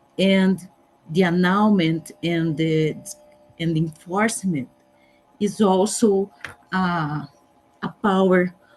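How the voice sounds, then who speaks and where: Speaking very slowly in a Portuguese accent, a woman keeps her intonation fairly even. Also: long, frequent pauses. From Brazil. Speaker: judge. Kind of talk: conference presentation. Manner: halting.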